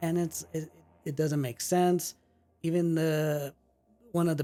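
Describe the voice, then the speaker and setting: Over music in the background, a man talks with a Spanish accent. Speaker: movie podcast co-host. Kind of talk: casual chat. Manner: halting.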